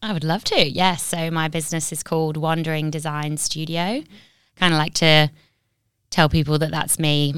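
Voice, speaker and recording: A woman speaks at a moderate pace with a very deep, low pitch and flat, monotone intonation. The recording is very clean with a silent background. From Nottingham, England. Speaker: graphic designer and business owner. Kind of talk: casual interview chat.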